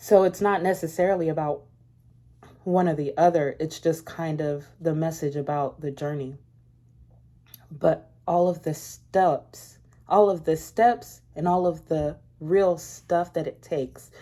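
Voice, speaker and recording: A woman has a dark, mellow tone at a fairly low pitch. She speaks at a fairly slow pace with fairly even intonation. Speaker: spiritual content creator. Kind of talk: casual monologue.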